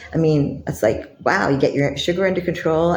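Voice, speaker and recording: A woman speaks with a Canadian accent at a very deep, low pitch. Noticeable background noise and audible room echo are present. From Canada. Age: 60s. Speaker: lifestyle vlogger. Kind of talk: vlog monologue.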